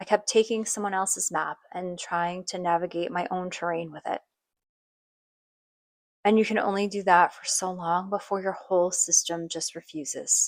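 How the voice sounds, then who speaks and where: A woman speaks in a monotone, flat intonation at a moderate pace and a medium pitch. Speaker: podcast host. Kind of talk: personal podcast monologue. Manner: soft, reflective.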